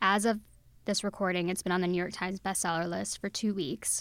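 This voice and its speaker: A normal speaking voice with fairly even intonation, captured in a very clean recording against a silent background. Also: woman. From Texas. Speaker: books editor. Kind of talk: interview. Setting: studio.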